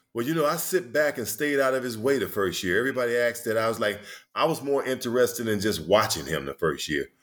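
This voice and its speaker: Here a man speaks with an American accent and vocal fry. His pace is very fast and his intonation lively. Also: medium pitch for a man. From Detroit, US Midwest. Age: 60s. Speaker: retired NBA player and author. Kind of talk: casual interview, storytelling. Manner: conversational, laughing, many filler words.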